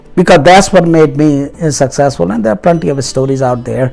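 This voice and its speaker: Music can be heard in the background. A man rushes through his words at a very fast pace. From India. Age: 60s. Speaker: motivational YouTuber, businessman. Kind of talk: motivational talk to camera. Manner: hesitant, many filler words.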